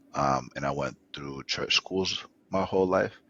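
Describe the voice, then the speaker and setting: With an Atlanta accent and vocal fry, a man talks at a fairly slow pace with fairly even intonation. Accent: American, Atlanta. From US South, Atlanta. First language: Spanish. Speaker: startup founder. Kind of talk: podcast interview.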